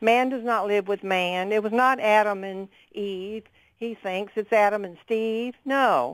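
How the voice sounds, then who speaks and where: A woman with an ordinary speaking voice talks at a fairly slow pace, medium in pitch and with fairly even intonation. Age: 60s. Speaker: caller, retired nurse. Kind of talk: radio call-in.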